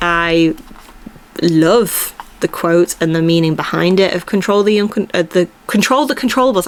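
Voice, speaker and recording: A woman's medium-pitched voice with lively intonation over noticeable background noise. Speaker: podcast host. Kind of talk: casual solo monologue. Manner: rambling, casual with filler words.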